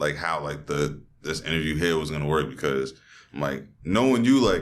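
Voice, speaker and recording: In a New York accent, a man with a very deep, low voice and vocal fry speaks at a moderate pace with ordinary pitch variation, with audible room echo. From New York (Queens). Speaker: podcast host. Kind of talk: casual chat. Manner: halting.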